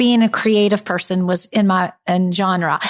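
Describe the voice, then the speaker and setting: On a very clean recording with a silent background, a woman talks with a Southern US accent. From US South, South Carolina (Camden). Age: 40s. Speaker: wedding designer. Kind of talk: interview.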